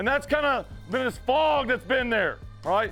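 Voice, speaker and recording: Over background music, a man with extremely high pitch speaks in a raised, projected voice with an energetic tone at a moderate pace. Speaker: high school football coach. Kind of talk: locker-room pep talk to team. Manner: energetic, emphatic.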